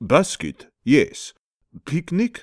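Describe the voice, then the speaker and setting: Using a put-on character voice, a man talks at a fairly high pitch. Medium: read story. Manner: broken grammar, slow, deadpan.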